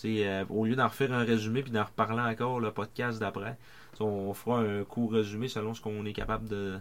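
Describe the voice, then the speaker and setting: Talking at a fairly quick pace, a man with a fairly low pitch keeps a monotone, flat intonation, recorded very cleanly with a silent background. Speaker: sports podcast co-host. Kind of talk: reading aloud; casual chat.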